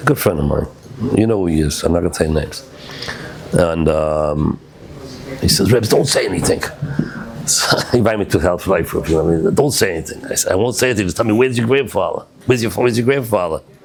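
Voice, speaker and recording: Through noticeable background noise, a man with a fairly low pitch talks at a very fast pace with lively intonation, broken by long, frequent pauses. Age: 70s. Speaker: rabbi. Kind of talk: storytelling talk to study group. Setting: synagogue study group.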